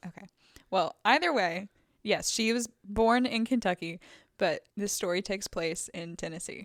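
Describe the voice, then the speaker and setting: A woman's medium-pitched, a plain, everyday voice at a moderate pace, with ordinary pitch variation, a dry, close sound with no echo, and a very clean recording with a silent background. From Virginia. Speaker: podcast co-host. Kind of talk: casual chat.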